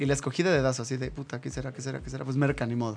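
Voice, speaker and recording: This man's voice sits at a medium pitch. He speaks very fast. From northern Mexico. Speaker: actor and radio host. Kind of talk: casual chat.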